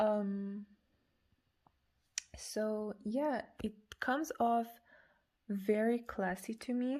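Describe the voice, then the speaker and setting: A woman's fairly high, dark, mellow voice with a non-native accent, fairly even intonation, a very slow pace and long, frequent pauses. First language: not English. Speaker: perfume reviewer. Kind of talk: product review. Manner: halting.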